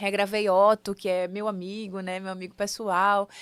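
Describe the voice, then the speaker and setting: In a northeastern Brazilian accent, a woman talks at a moderate pace and medium pitch on a very clean recording with a silent background. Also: dry, close sound with no echo. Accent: Northeastern Brazilian accent, kept. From Sergipe, Brazilian Northeast. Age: 30s. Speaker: singer, actress and multi-artist. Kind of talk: interview.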